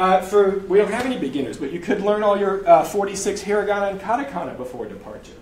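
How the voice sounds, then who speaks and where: Talking at a fairly quick pace and a high pitch, a man is heard with audible room echo and noticeable background noise. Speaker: language learning presenter. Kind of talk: live presentation to audience. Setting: stage with audience. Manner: fast; animated.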